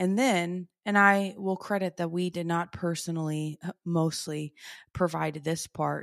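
A woman speaks fairly slowly at a fairly low pitch with fairly even intonation. The recording is very clean, with a silent background. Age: 30s. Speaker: podcast host, PhD coach. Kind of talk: personal testimony. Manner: casual, chatty.

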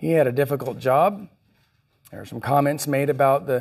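On a very clean recording with a silent background, there is an ordinary speaking voice at a fairly quick pace. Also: man. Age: 50s. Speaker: pastor. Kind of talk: sermon. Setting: church.

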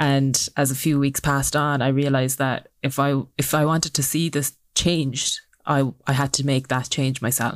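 A woman's very deep, low voice in a Cork accent, monotone and flat, at a moderate pace on a very clean recording with a silent background. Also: very even loudness. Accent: Irish (Cork). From Ireland, Cork. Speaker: social entrepreneur. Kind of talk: interview.

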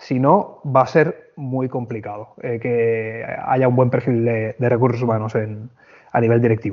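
This man talks in a normal speaking voice at a fairly slow pace. His pitch sits at a medium level and his intonation stays fairly even. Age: 30s. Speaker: hotel HR manager. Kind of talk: interview.

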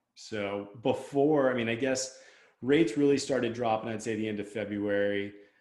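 Over audible room echo, a man with an American accent speaks at a moderate pace with a medium pitch and fairly even intonation. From Southern California. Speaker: podcast host. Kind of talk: interview.

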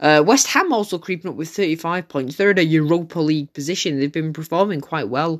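On a very clean recording with a silent background, a man speaks at a fairly quick pace with a fairly high pitch, a fairly bright tone and ordinary pitch variation.

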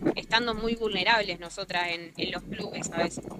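The woman here shows ordinary pitch variation. Noticeable background noise comes through. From Argentina, Rosario. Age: 20s. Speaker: footballer. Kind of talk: interview. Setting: remote call from outdoors.

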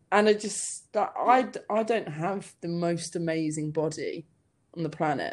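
A woman with a southern English accent, fairly low in pitch, at a moderate pace with ordinary pitch variation. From southern England (Hampshire, near Southampton). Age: 30s. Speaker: comedian. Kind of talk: casual chat. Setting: call.

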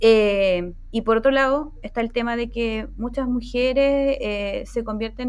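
A woman with a Chilean accent, a fairly high pitch, fairly even intonation and a very slow pace, against a quiet background. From Chile, Chiloé. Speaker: UX designer. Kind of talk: casual chat.

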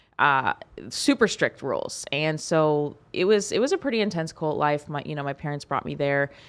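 With lively intonation, a woman talks at a moderate pace in a very deep, low voice. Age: 30s. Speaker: nurse and fitness trainer, memoir author. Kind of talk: casual interview. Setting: studio.

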